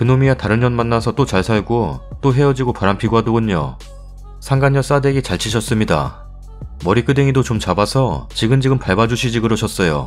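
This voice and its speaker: Over music in the background, a man speaks at a fairly quick pace and medium pitch, with ordinary pitch variation and very even loudness. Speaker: story narrator reading online forum stories. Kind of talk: reading reader comments aloud, indignant.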